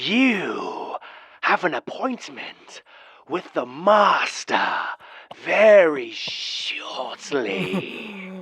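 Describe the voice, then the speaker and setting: A put-on character voice at a middle pitch. It moves at a very slow pace. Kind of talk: horror story narration. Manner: mock grandma voice.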